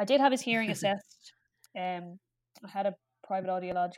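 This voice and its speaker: A woman in an Irish accent speaks at medium pitch, with a dry, close sound and no echo. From Ireland. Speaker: pediatric speech and language therapist. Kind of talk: casual interview chat. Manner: chatty.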